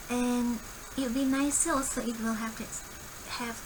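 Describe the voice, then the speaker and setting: A woman with a high voice speaks at a fairly slow pace. Her intonation stays fairly even, and audible room echo surrounds her. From Singapore. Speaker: coding tutorial creator. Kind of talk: screen-recorded coding tutorial. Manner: casual, thinking aloud with fillers.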